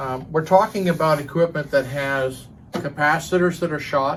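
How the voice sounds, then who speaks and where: At a fairly slow pace, a man speaks in a fairly high, somewhat breathy voice. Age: 60s. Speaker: hi-fi audio commentator. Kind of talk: casual opinion monologue. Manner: hesitant, many fillers.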